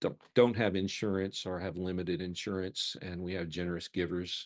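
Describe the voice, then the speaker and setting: A man with a slight Mississippi accent speaks at a very deep, low pitch, with a dry, close sound, no echo and a quiet background. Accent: slight Mississippi Southern. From Mississippi, US South. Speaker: counseling center program director, former pastor. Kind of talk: lunchtime talk. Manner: halting, many fillers.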